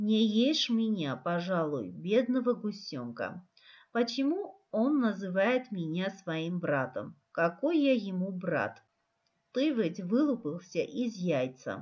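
A woman speaks very slowly at a medium pitch, her voice somewhat breathy. Her pitch swings very widely. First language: Armenian (speaking Russian). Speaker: teacher. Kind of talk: tutorial; reading aloud.

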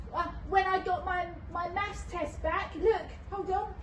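A cartoonish character voice that sounds female, pitched extremely high, speaks at a moderate pace against clear background noise. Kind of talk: children's puppet skit. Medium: puppet. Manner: warm, reassuring.

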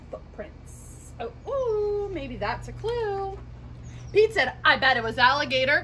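A woman's raised, projected voice with very wide pitch swings over light background noise. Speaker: children's story reader. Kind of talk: read-aloud storytime for children. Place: garden. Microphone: phone near.

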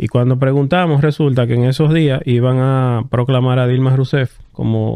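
A man speaks at a medium pitch and a moderate pace, with fairly even intonation. It is a plain, everyday voice. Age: 30s. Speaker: electric vehicle dealer representative. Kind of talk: casual interview chat. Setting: studio.

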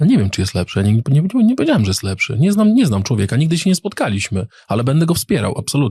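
At a very fast pace, a man speaks in a fairly high, somewhat breathy voice with a dark, mellow tone, very wide pitch swings and very even loudness, in a dry, close sound with no echo. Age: 40s. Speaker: politician. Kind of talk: casual interview.

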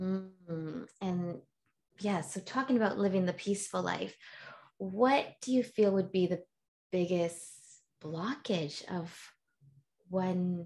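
A somewhat breathy woman's voice with ordinary pitch variation over a quiet background. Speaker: podcast host and healer. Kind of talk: casual interview chat. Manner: animated. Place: home room.

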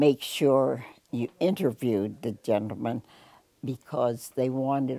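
Speaking with an American accent, a woman has a dark, mellow tone at a fairly slow pace, the sound dry with no echo. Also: quiet background. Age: 80s+. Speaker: war veteran; school psychologist. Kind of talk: interview answer. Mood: warm, often smiling. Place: home room. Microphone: lapel.

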